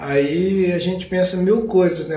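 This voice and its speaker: The man talks at a very slow pace with ordinary pitch variation. Audible room echo surrounds his voice. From Brazil, Minas Gerais (Ubá). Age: 30s. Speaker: podcast host, Parkinson's patient. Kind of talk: personal narration, monologue.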